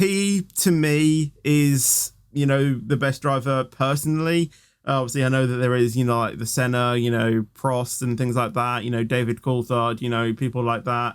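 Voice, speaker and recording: British accent from a man at medium pitch, ordinary pitch variation, moderate pace, on a very clean recording with a silent background. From Britain. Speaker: YouTuber, gaming content creator. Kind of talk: Q&A video answering viewer questions. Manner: casual, many fillers and hesitations.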